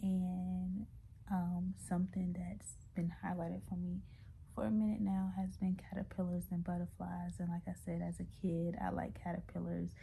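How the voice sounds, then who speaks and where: This woman speaks in a whisper. She keeps a moderate pace. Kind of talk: casual talk to camera. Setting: at home, away from desk. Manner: whispering; hesitant, many fillers.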